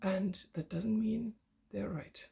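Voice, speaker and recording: A woman speaks with a somewhat breathy voice. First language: not English (English is her third language). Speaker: yoga teacher and philosophy student. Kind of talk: personal vlog monologue. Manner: halting, with fillers and restarts.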